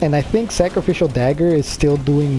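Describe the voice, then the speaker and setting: A man's fairly high-pitched voice at a moderate pace, over noticeable background noise. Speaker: gaming video creator. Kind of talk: let's play commentary.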